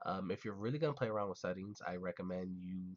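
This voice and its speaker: A man's very deep, low voice in monotone, flat intonation at a fairly quick pace, dry and close with no echo. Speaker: gaming YouTuber. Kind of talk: casual tutorial talk to camera. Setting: poor mic quality.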